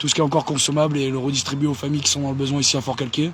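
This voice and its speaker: Noticeable noise runs behind this man's voice. His pitch is fairly high, and his intonation stays monotone and flat. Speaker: activist. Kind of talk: casual livestream chat. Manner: halting, many hesitations.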